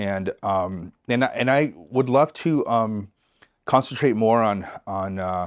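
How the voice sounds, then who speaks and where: This man talks at a very slow pace in a medium pitch. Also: ordinary pitch variation, quiet background. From US West, East Los Angeles. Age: 60s. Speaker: real estate agent. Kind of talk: podcast interview.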